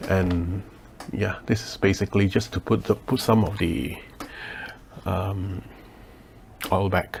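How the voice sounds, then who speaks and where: A man whispers at a fairly slow pace, somewhat breathy, with long, frequent pauses. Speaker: leathercraft maker. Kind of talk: tutorial. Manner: whispering; hesitant with many fillers.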